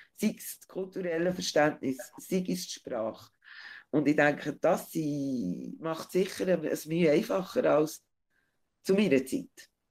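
A woman's fairly low-pitched voice at a fairly slow pace, with lively intonation, big swings in loudness and long, frequent pauses, in a very clean recording with a silent background. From Switzerland, Bern region. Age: 40s. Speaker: interview guest. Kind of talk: interview.

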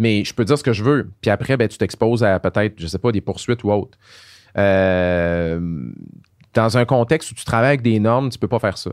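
On a very clean recording with a silent background and a dry, close sound with no echo, a man with a Quebec accent speaks at a fairly quick pace and a fairly low pitch with ordinary pitch variation. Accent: Québécois French. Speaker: pharmacist and science communicator. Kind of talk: casual interview conversation.

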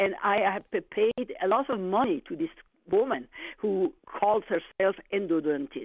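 At a fairly slow pace, a woman speaks in a medium pitch with very wide pitch swings and very even loudness. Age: 70s. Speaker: caller. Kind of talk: phone-in complaint. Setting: phone call. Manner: halting.

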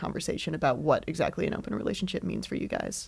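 There is vocal fry in this woman's voice. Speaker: host's roommate, podcast guest. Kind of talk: casual chat.

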